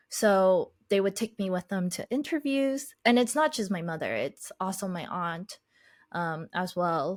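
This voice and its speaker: Speaking with a Chinese accent, a woman talks at a medium pitch. The recording is very clean with a silent background. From Boston, US (Chinese family, moved around a lot). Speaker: podcaster and life coach. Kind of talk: podcast interview, personal story.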